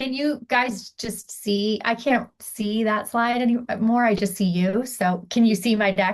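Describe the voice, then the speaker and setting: In a normal speaking voice, a woman talks at a fairly slow pace with hardly any pauses. Her fairly high pitch follows fairly even intonation. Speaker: startup founder. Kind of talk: startup pitch.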